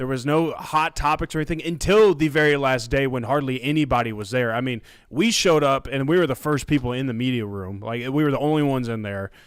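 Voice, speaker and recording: A man talks at a fairly quick pace in a medium pitch with ordinary pitch variation, on a very clean recording with a silent background. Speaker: college football media personality. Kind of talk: casual chat. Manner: sounds like a radio announcer.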